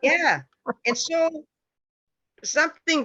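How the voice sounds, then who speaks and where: A woman speaks in a bright, sharp tone against a quiet background. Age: 70s. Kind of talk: panel discussion.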